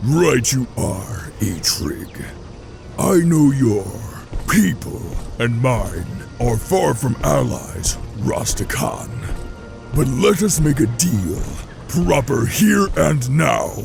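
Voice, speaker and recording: A man's put-on character voice at medium pitch, very slow pace, with clear music in the background. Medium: machinima. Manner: arrogant, menacing.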